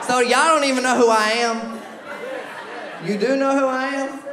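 A man speaks at an extremely high pitch with a bright, sharp tone, fairly even intonation and moderate pace, amid audible room echo and faint crowd noise in the background.

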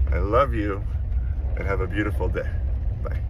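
Over noticeable background noise, a man talks in a very deep, low pitch. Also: dry sound with no echo. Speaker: animal rescuer vlogger. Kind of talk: casual vlog chat. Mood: cheerful, grateful. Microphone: phone near.

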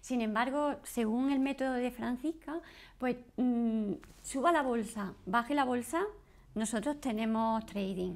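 A woman talks at a very slow pace with a high pitch. Her pitch variation is ordinary. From Spain, Granada (Andalusia); Andalusia, Spain. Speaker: course student, homemaker. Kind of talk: testimonial interview. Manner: halting. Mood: friendly, upbeat. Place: home room.

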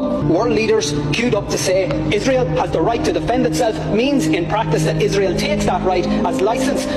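Loud music sits behind the speaker. He is a man talking at a fairly quick pace. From Ireland. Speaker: politician. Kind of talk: parliamentary speech. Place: hall.

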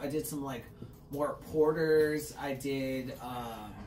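Music in the background and audible room echo. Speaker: podcast host. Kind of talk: casual podcast chat. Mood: relaxed, joking. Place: garden.

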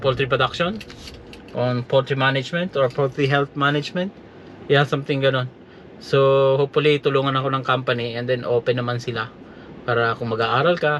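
There is noticeable background noise as a man with a fairly high voice speaks with ordinary pitch variation. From Philippines. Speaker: vlogger and veterinary technician. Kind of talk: casual vlog talk. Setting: in a car. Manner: halting.

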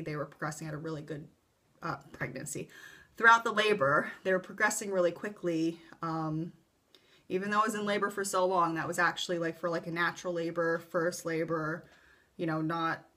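A woman's fairly low, bright, sharp voice at a fairly quick pace, with ordinary pitch variation. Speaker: vlogger telling her birth story. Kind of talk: casual vlog chat. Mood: calm, relaxed storytelling. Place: home room. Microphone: webcam.

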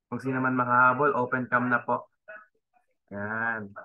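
Delivery comes at a moderate pace with fairly even intonation. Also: man. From Philippines. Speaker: event host. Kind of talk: event hosting. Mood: grateful, polite. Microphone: video call.

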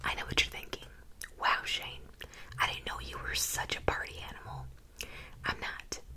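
A woman speaks. She is whispering. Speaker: ASMR creator. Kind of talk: reading a short story aloud, ASMR style. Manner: playful, teacher-like. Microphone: studio mic.

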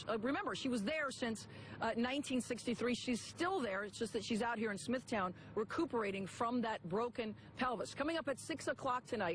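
A plain, everyday voice moves at a moderate pace with lively intonation and hardly any pauses, in a dry sound with no echo over light background noise. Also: woman. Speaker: TV news reporter. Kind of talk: live TV news report. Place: garden. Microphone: handheld.

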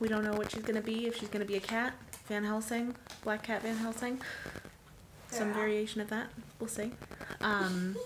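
A woman talks fairly quickly while noticeable background noise carries on behind her. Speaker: family vlogger. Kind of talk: casual vlog chat. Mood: relaxed, cheerful. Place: home room. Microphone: phone near.

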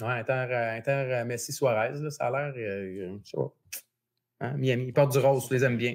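Speaking at a moderate pace with fairly even intonation, a man with a Quebec accent leaves long, frequent pauses over a quiet background. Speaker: sports betting podcast host. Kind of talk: casual chat. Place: home room. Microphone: earbuds.

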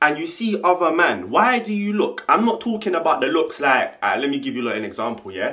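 A man speaks in a London accent at a fairly quick pace. The background is quiet. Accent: London multicultural English. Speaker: YouTuber. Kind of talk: casual vlog monologue. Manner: animated. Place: home room. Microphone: camera far.

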